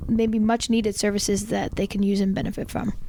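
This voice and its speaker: Talking very fast against noticeable background noise, a woman keeps a fairly high pitch and fairly even intonation. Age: 30s. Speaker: parish youth ministry coordinator, guest co-host. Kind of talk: casual podcast chat with announcements. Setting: parish office recording.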